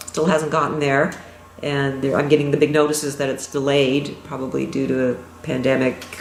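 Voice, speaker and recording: With a Canadian accent, a woman with a very deep, low pitch speaks at a fairly quick pace and fairly even intonation, amid noticeable background noise and audible room echo. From Toronto, Canada. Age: 60s. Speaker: pastel artist, former optometrist. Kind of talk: interview.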